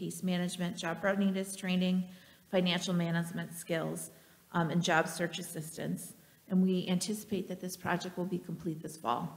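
Somewhat breathy, a woman speaks at a moderate pace with monotone, flat intonation. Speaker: nonprofit fundraising director; ministry director giving a report. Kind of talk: mission update presentation. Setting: church. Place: church. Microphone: podium.

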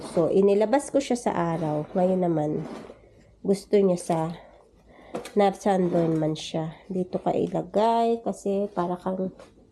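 At a fairly slow pace, a woman talks in a medium pitch with a dark, mellow tone. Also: ordinary pitch variation. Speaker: vlogger, domestic worker abroad. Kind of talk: casual vlog. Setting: home terrace.

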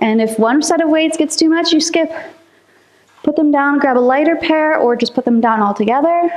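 This woman talks at a high pitch and a moderate pace, with ordinary pitch variation and very even loudness. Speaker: fitness instructor. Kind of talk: workout class instruction. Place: empty room. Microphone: camera far.

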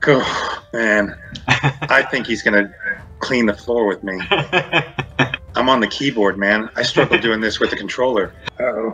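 A man speaks at a fairly slow pace with ordinary pitch variation and long, frequent pauses. Faint music plays in the background. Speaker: voice actor; game narrator playing the game. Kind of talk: casual gameplay commentary. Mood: nervous, playful. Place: home room. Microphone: video call.

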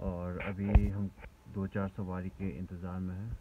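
This is a man speaking. Loud background noise runs behind him. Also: dry sound with no echo. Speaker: travel vlogger. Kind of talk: casual vlog chat. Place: car. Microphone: phone near.

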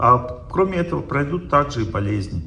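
With noticeable background noise behind him, a man at a medium pitch keeps a moderate pace while his pitch swings very widely. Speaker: lecturer on health and spirituality. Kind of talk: seminar lecture with audience Q&A. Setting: stage with audience.

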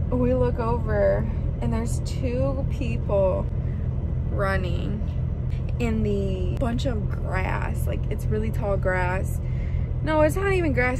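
Loud noise fills the background as a woman talks. There is no echo, and the sound is dry. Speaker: truck driver vlogger. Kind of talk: casual vlog chat. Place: car. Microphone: phone near.

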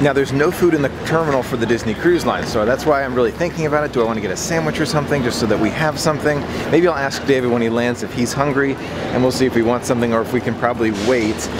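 Music plays in the background as a man talks at a very fast pace with ordinary pitch variation, the sound dry with no echo. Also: hardly any pauses. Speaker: travel vlogger. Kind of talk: casual vlog chat. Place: station. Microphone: phone near.

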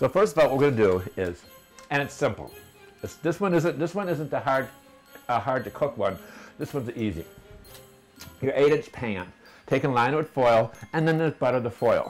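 Faint music sits in the background while a man talks at a fairly quick pace. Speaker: home cooking show host. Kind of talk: tutorial. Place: kitchen. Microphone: camera far.

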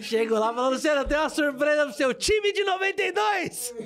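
Light background noise sits behind a man's voice. His pitch swings very widely. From Brazil. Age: 30s. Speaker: podcast host, comedian. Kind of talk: casual chat. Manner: animated. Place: studio. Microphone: studio mic.

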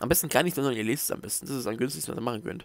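A man mumbling with lively intonation, in a dry sound with no echo. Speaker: book reviewer. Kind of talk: casual book review to camera. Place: home room. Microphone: headset.

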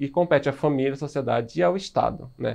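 Against a quiet background, a man with a normal speaking voice talks fairly quickly at a fairly high pitch, his intonation fairly even. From Brazil. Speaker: high school biology teacher; biology teacher. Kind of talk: recorded video lecture. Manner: casual, filler-heavy (né, certo). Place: studio.

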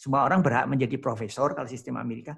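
Against a quiet background, a man talks at a very fast pace in a somewhat breathy voice with ordinary pitch variation. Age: 60s. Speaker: professor. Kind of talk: lecture. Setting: video call. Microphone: video call.

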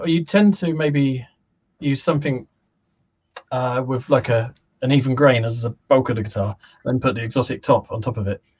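A somewhat breathy man in a British accent at a moderate pace, with long, frequent pauses, ordinary pitch variation, and a quiet background. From UK. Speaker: guitar maker; guest. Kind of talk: casual chat. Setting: video call. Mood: relaxed, friendly. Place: home room. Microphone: video call.

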